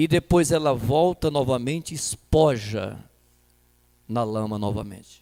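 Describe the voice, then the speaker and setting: Over a dry, close sound with no echo, a man talks at a very slow pace with lively intonation. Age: 60s. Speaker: pastor. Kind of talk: sermon.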